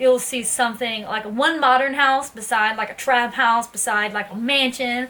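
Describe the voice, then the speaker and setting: The talking proceeds at a moderate pace while noticeable background noise is heard. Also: woman. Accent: Southern US. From US South, Tennessee (Ashland City). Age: 20s. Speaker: vlogger. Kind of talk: casual talk to camera.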